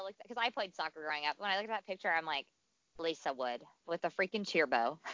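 Loud speech rushes by at a very fast pace. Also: woman. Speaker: podcast co-host, mother. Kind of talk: casual chat. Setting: outdoors at home, headphones.

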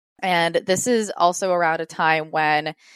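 A woman with an unremarkable speaking voice talks at a fairly slow pace with an American accent and a fairly low pitch. The sound is dry and close, with no echo. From US Northeast, Rhode Island. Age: 20s. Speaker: YouTuber and entrepreneur. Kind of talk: casual interview chat.

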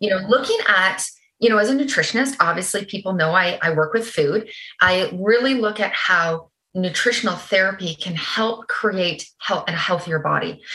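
A woman talks with a Canadian accent. Her tone is bright and sharp. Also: medium pitch for a woman, ordinary pitch variation, moderate pace. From Canada. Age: 40s. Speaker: holistic nutritionist. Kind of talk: interview.

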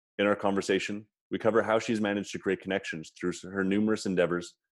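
A man talks very fast in a fairly low voice. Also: quiet background. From Canada. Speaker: podcast host. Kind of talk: casual interview chat.

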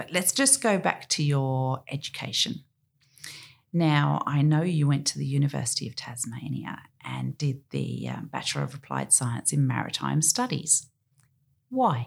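A woman talks with an Australian accent. She speaks at a fairly slow pace. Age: 50s. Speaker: podcast host and marina owner. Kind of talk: casual interview.

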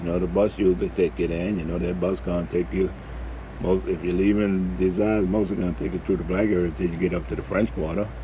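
Over noticeable background noise, a man with a very deep, low voice speaks very fast with lively intonation. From New Orleans, Desire housing project. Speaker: vlogger. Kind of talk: casual monologue.

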